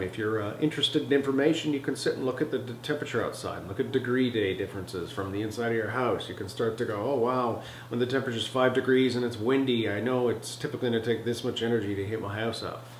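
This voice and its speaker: Over light background noise with audible room echo, a man speaks at a very fast pace with fairly even intonation. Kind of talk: interview answer. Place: home room.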